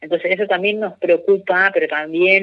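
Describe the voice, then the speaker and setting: A man with a high-pitched voice. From Argentina, Corrientes province. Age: 20s. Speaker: environmental activist. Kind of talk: interview. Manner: halting, many fillers.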